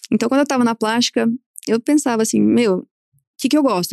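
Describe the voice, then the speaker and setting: Against a quiet background, a woman speaks in a fairly high pitch, the sound dry and close with no echo. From southern Minas Gerais, Brazil (Alfenas). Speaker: plastic surgeon. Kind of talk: casual interview chat.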